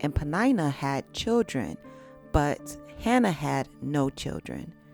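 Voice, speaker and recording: With music in the background, a woman talks at a fairly slow pace and a very deep, low pitch. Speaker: Bible narrator. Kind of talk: Bible story reading, meditation narration.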